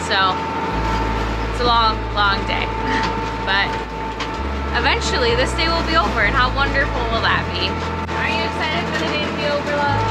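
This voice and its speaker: Loud background noise surrounds a woman speaking at a moderate pace. She leaves long, frequent pauses. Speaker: sailing vlogger. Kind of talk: casual vlog chat. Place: boat. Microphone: phone near.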